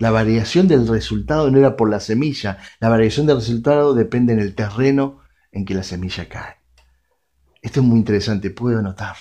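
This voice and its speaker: Speaking fairly quickly with a Rioplatense accent, a man uses a medium pitch, ordinary pitch variation and a dark, mellow tone. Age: 40s. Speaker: radio preacher. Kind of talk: sermon.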